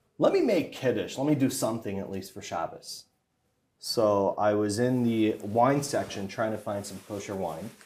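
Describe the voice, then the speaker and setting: With an American accent, a man speaks at a moderate pace in a fairly low pitch, his pitch varying in an ordinary way while his loudness swings widely. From US South, Hollywood, Florida. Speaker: rabbi. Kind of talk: interview. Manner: halting.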